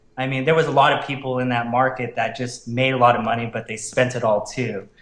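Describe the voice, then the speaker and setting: A man with a flat, monotone delivery at a very fast pace, medium in pitch, over noticeable background noise. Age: 30s. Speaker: salesman and network marketer. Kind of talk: personal story in interview.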